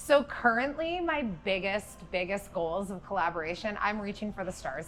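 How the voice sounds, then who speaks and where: Over music in the background, a woman speaks at medium pitch. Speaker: singer-songwriter. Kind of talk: interview. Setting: music festival venue.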